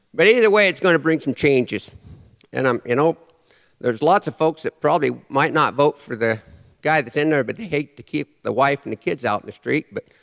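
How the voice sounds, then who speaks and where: In an American accent, a man talks at a fairly quick pace with a fairly high pitch and lively intonation, in an ordinary speaking voice. The sound is dry and close, with no echo. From Nebraska. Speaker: cowboy poet. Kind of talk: live stage performance, humorous cowboy poetry and storytelling. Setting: live audience in a church. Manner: folksy, dry humor.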